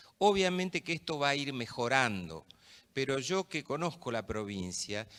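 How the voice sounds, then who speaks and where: A man's bright, sharp voice at a medium pitch and a moderate pace, in a very clean recording with a silent background. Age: 60s. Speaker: judge. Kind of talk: conference talk.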